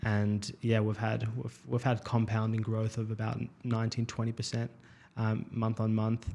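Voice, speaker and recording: A man speaks with an Australian accent at a very slow pace. His intonation is monotone and flat. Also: medium pitch for a man. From Melbourne, Australia. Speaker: startup founder. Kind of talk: interview. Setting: studio, face-to-face.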